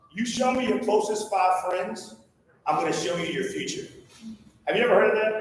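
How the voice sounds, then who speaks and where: Loud and energetic, a man talks at a high pitch with long, frequent pauses, amid audible room echo and noticeable background noise. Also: ordinary pitch variation. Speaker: motivational speaker. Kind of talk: motivational talk. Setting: stage with audience. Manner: fast; loud, energetic.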